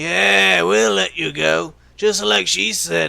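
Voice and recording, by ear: Slow, high-pitched put-on character voice from a man, bright and sharp in tone, with vocal fry and fairly even intonation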